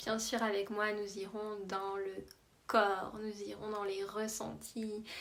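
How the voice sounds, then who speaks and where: Amid audible room echo, a woman with a medium-pitched voice speaks at a very slow pace in a monotone, flat delivery. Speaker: emotional release coach. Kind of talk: promotional talk.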